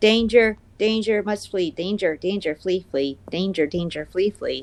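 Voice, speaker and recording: In a put-on character voice, a female-sounding speaker talks at medium pitch and a moderate pace. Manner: panicked, repetitive warning.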